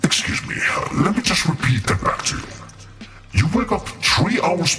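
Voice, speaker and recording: A man doing a put-on character voice, with slight echo and clear background noise. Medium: solo performance. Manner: formal, detached.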